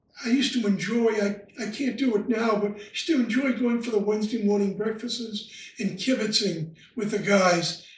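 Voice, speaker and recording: A man's high voice at a moderate pace, fairly even in intonation with hardly any pauses, amid noticeable background noise and audible room echo. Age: 80s+. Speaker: retired lodge member. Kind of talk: interview. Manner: halting.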